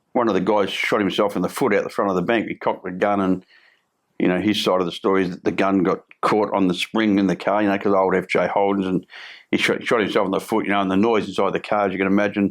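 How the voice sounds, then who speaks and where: Someone speaks very fast in a strong Australian accent, with flat, monotone intonation over a quiet background. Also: man, fairly low pitch for a man. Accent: broad Australian. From Australia, Melbourne (Fitzroy). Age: 60s. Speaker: former criminal, recovery coach. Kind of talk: interview storytelling. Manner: halting, repetitive.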